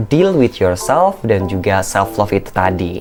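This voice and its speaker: Music plays in the background while a man's pitch swings very widely. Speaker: content creator and communication coach. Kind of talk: educational vlog talk.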